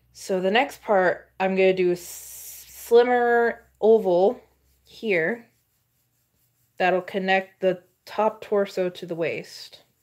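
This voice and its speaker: A woman speaks at a very slow pace with fairly even intonation on a very clean recording with a silent background. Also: medium pitch for a woman. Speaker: art tutorial creator. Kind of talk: drawing tutorial. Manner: unscripted, halting; stuttering.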